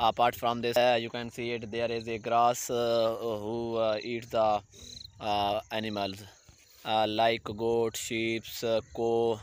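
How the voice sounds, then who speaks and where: Speech in a Pakistani accent comes at a very slow pace with monotone, flat intonation. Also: man, medium pitch for a man. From Pakistan, Saraiki-speaking area. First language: Saraiki or Urdu. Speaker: vlogger. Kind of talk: casual vlog narration. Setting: outdoors in village fields. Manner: halting, many fillers.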